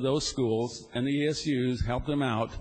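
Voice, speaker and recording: There is a somewhat breathy quality to this man's fairly high-pitched voice. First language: not English. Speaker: state senator. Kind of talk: legislative floor debate. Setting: legislative chamber.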